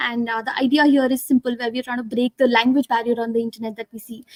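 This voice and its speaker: A woman talks at a very fast pace with a high pitch. The sound is dry and close, with no echo. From northern India. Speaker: tech startup founder. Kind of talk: interview. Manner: halting, many fillers.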